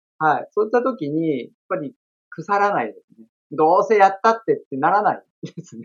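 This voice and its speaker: A man's high voice with big swings in loudness. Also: lively intonation. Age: 40s. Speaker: estate-law administrative scrivener and former comedian. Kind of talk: interview. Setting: video call.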